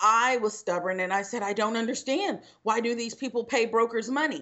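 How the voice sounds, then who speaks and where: A woman with an American accent speaks at a fairly quick pace in an ordinary speaking voice. Her pitch is fairly high, with ordinary variation. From Texas, Houston. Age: 20s. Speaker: real estate broker and trainer. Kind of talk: casual chat.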